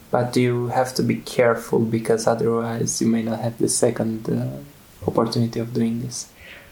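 With a Romanian accent, a man talks at a moderate pace in a medium pitch and a monotone, flat intonation over noticeable background noise. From central Romania. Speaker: lifestyle center student. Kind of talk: interview. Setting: on site at a lifestyle center. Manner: halting.

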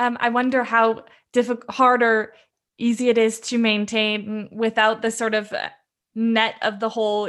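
A woman's fairly high pitch with fairly even intonation, in a Pacific Northwest accent. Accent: American (Pacific Northwest). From US, Seattle. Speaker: expat interviewee. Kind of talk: casual interview. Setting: video call.

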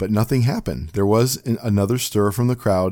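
What you hear is an unforced reading voice.

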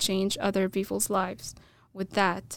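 Recorded very cleanly against a silent background, a woman speaks at a medium pitch with an Arabic accent. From Egypt, small town. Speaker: computer science graduate student. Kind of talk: casual interview chat. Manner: halting, many fillers.

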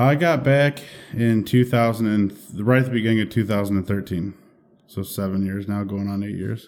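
A man with an American accent speaks in a normal speaking voice at a fairly low pitch and a moderate pace, with ordinary pitch variation, on a very clean recording with a silent background. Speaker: fire captain. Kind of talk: casual chat.

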